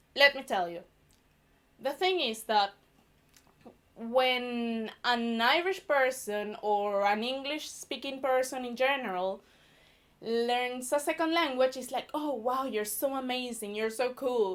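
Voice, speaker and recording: Speaking at a very slow pace, a woman with a Venezuelan accent uses a high pitch. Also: ordinary pitch variation. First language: Spanish. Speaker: stand-up comedian. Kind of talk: stand-up. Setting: stage with audience.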